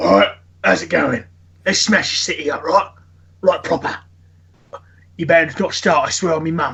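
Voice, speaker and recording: Using a put-on character voice, a man speaks in a high pitch at a moderate pace with long, frequent pauses. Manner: rowdy, aggressive.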